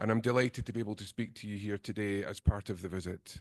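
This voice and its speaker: Heard in a dry, close sound with no echo and a quiet background, a man with a Scottish accent speaks with ordinary pitch variation. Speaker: nursing lecturer. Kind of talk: lecture.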